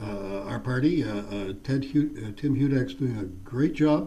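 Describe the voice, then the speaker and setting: A man speaks at a fairly slow pace, his pitch medium and his intonation lively. The room echo is audible. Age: 70s. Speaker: politician. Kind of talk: interview. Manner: halting, many fillers.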